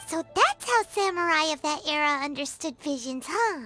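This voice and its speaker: A high-pitched cartoonish character voice at a moderate pace, with faint music in the background. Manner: casual, friendly.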